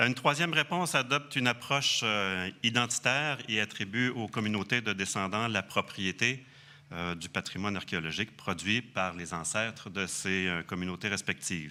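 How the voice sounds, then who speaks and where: A man with a Quebec accent speaks at a moderate pace in a fairly low pitch, his tone bright and sharp with lively intonation. The recording is very clean with a silent background. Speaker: archaeologist. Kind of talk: conference talk. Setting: conference hall with audience. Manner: hesitant, many fillers.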